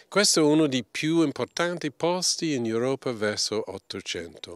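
A man with a strong English accent speaks at a very slow pace with lively intonation, in a dry sound with no echo against a quiet background. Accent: strong English accent in Italian. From England. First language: English (speaking Italian). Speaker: archaeology professor. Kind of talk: interview. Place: open country. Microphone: handheld.

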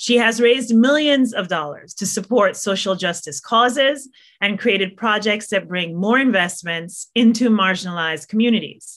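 Against a quiet background, the speech runs at a moderate pace with hardly any pauses. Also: woman. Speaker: professor. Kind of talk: formal opening remarks. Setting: video call. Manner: formal. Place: home room. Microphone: webcam.

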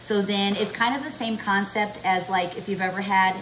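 There is light background noise behind a woman speaking at a moderate pace. Her intonation is fairly even. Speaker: home cook vlogger. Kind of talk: cooking tutorial chat. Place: kitchen. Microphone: camera far.

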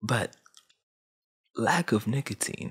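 A man speaks at a medium pitch with vocal fry and ordinary pitch variation against a quiet background. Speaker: YouTube commentator. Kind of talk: casual, street slang. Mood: earnest, reflective. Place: home room. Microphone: studio mic.

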